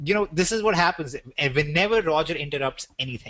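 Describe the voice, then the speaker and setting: A man speaks with an Indian accent and lively intonation. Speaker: business webinar presenter. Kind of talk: sales webinar. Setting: online webinar.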